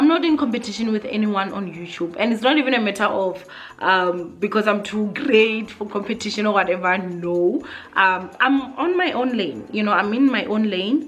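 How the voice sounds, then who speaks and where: With lively intonation and an animated tone, a woman speaks at a moderate pace and fairly high pitch, with audible room echo and noticeable background noise. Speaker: YouTuber. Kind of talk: vlog monologue. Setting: sitting on the floor at home. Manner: loud.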